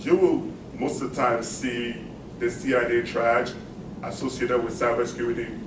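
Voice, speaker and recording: Against noticeable background noise and audible room echo, a man talks at a medium pitch. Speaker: cybersecurity professional. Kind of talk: presentation. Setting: meeting with live audience. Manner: fast when excited.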